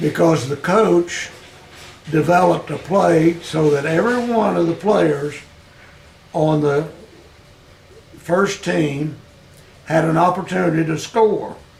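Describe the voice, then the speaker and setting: A man with an American accent at a fairly slow pace, with long, frequent pauses and ordinary pitch variation, over noticeable background noise. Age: 80s+. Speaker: former high school football player. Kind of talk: oral history interview answer.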